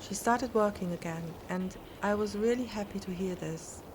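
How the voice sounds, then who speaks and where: This is a woman with a normal speaking voice at a medium pitch. Her pace is moderate and her intonation fairly even. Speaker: podcast host and story narrator. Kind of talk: scary story narration for sleep.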